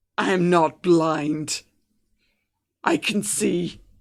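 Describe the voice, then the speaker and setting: A raspy, female-sounding put-on character voice comes through at a fairly low pitch. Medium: actual play. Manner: accusing, defensive.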